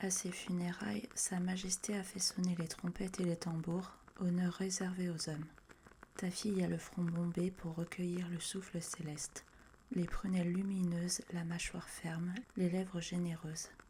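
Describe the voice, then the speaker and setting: A soft-spoken woman, fairly low in pitch, at a fairly slow pace with fairly even intonation. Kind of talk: ASMR book reading by the fire. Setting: audio recorded separately from video. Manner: soft-spoken, relaxing.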